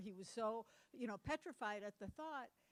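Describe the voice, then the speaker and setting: In an American accent, a woman with a fairly high pitch talks at a fairly quick pace with lively intonation, in a dry, close sound with no echo. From Massachusetts (Cape Cod). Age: 60s. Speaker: conference speaker on domestic violence. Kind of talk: conference talk. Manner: casual, animated.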